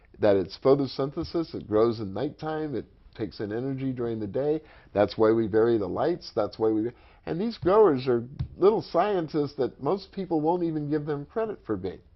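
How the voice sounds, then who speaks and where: Music plays in the background as a man of medium pitch talks at a moderate pace. His pitch swings very widely. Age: 60s. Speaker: medical marijuana activist. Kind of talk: interview. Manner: animated.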